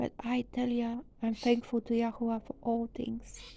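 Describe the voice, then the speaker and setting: A woman with a non-native accent speaks at a fairly slow pace. Her fairly high-pitched voice has a dark, mellow tone. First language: not English. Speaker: religious teacher. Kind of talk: sermon.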